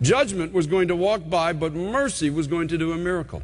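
A man talks at a moderate speed while the background stays quiet. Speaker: preacher. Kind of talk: sermon. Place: church. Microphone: podium.

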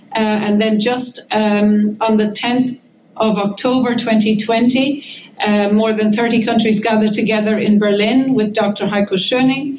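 Speaking in an Irish accent, a woman with a fairly high pitch keeps a monotone, flat intonation and very even loudness at a fairly slow pace with hardly any pauses, light background noise behind her. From Ireland. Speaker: professor of immunology, campaigner; professor of immunology. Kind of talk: press conference statement. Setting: press conference. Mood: urgent, earnest. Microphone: video call.

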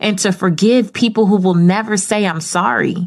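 A woman with a plain, everyday voice at medium pitch and a moderate pace, against a quiet background. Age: 30s. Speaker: podcast host and media personality. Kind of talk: solo podcast monologue. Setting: home studio. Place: studio.

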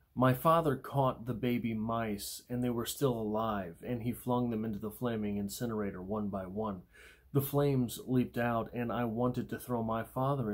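Against a quiet background, a man speaks at a moderate pace with fairly even intonation and hardly any pauses. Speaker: poetry channel host. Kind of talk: poetry discussion and reading. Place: home room. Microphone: phone near.

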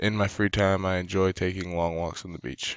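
A man talks at a fairly quick pace in an American accent. His pitch is very deep and low. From US Midwest, Illinois. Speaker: student athlete. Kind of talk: tutorial. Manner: halting.

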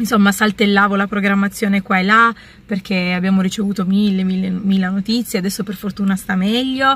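The woman's intonation is monotone and flat at a fairly quick pace. The sound is dry, with no echo. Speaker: vlogger. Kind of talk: casual vlog chat. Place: car. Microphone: phone near.

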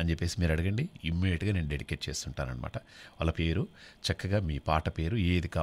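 A man is speaking. His pitch is very deep and low. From Telangana (Nalgonda district); Telangana. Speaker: radio host. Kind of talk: live call-in radio show. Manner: animated. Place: studio.

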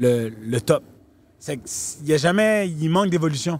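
With ordinary pitch variation, a man speaks in an animated tone. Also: dry sound with no echo. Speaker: talent manager and fixer for celebrities; podcast guest. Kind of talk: casual podcast interview, storytelling. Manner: animated, mixes English slang into French. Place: farm machine. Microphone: handheld.

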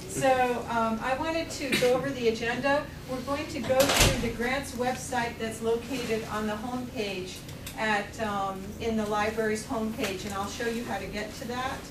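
A woman talks at a moderate pace with fairly even intonation, and there is noticeable background noise. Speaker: presenter. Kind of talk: lecture. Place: classroom. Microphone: camera far.

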